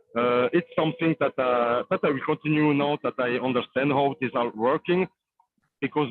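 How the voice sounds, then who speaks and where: With a non-native accent, a man speaks at a moderate pace and medium pitch, his pitch varying in an ordinary way. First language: not English. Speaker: crypto developer. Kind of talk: casual chat. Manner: halting.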